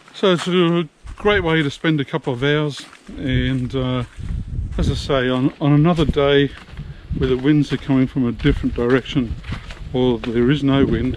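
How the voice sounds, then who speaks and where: A man with an Australian accent speaks at a fairly high pitch, with ordinary pitch variation. His speech has long, frequent pauses over noticeable background noise. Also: moderate pace. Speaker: travel vlogger. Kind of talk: casual vlog talk to camera.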